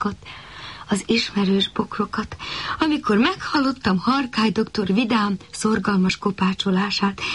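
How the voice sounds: Ordinary rise and fall of pitch in a natural reading voice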